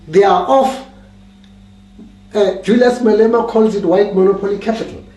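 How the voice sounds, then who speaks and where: Noticeable background noise and audible room echo surround a man's speech. He talks at a high pitch and a moderate pace, with ordinary pitch variation. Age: 70s. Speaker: political commentator. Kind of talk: political talk. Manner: halting.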